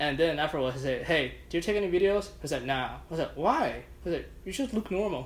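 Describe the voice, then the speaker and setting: Vocal fry and lively intonation at a fairly quick pace, with hardly any pauses. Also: man, fairly high pitch for a man. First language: not English. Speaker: judo practitioner and beer enthusiast. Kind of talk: casual chat.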